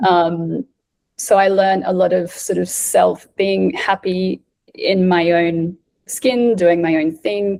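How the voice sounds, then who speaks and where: At a very slow pace, a woman with an Australian accent speaks in a dark, mellow tone at medium pitch, keeping her intonation fairly even. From South Australia. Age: 30s. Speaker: breathwork facilitator. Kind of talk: casual chat.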